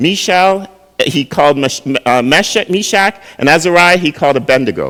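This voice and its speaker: At a moderate pace, a man with a fairly high pitch and a bright, sharp tone speaks with lively intonation and very even loudness. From Jamaica, raised in Canada from early childhood. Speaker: pastor. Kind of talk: sermon. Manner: conversational, asks the audience questions.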